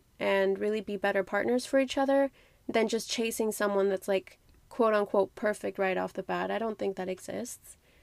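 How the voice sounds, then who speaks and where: A woman speaks at a moderate pace in a plain, everyday voice, medium in pitch with fairly even intonation, on a very clean recording with a silent background and a dry, close sound with no echo. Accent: American. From outside the US, another country. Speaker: podcast host, guest. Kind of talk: casual interview chat.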